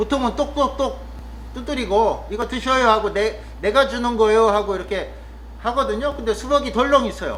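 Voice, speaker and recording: A man speaks at a moderate pace. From Chungcheong, Korea. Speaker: vlogger, rural cafe worker. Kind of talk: casual monologue vlog. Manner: hesitant, with frequent fillers.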